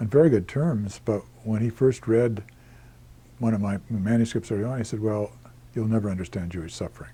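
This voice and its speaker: The voice has a dark, mellow tone and is somewhat breathy, captured on a very clean recording with a silent background. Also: man. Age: 70s. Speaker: historian. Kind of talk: interview. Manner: halting.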